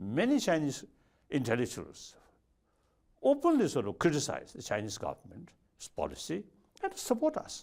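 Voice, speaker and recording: The man keeps a moderate pace. Long pauses come often in his speech. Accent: Tibetan. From Tibet. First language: Tibetan. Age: 70s. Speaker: spiritual leader. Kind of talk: interview answer.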